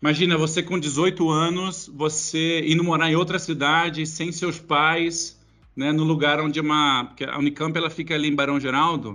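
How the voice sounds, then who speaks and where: A man's fairly high-pitched voice, bright and sharp in tone, monotone and flat, at a moderate pace. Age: 40s. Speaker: tech company executive. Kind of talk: interview. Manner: casual.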